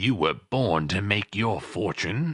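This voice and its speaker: Using a put-on character voice, a man speaks at a fairly slow pace with lively intonation. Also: fairly low pitch for a man. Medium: read story. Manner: sly, chuckling.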